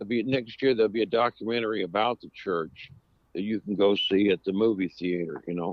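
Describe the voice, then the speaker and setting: A man talks at a moderate pace with an American accent. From Northern California (Sonoma). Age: 70s. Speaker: western swing musician. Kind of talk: casual interview chat.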